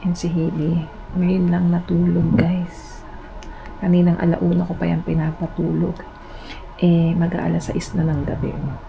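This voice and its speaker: A woman speaks quietly at a fairly slow pace, with audible room echo and noticeable background noise. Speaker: stay-at-home mom vlogger. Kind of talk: casual vlog talk to camera. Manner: hushed, lowered voice.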